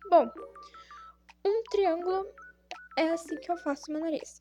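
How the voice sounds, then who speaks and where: Music plays behind a woman as she talks. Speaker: drawing tutorial creator. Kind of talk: tutorial.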